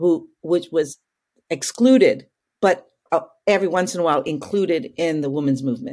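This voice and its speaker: At a moderate pace, a woman with a dark, mellow tone and fairly low pitch uses lively intonation and takes long, frequent pauses. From Calgary, Alberta, western Canada. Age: 50s. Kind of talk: interview. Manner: talkative.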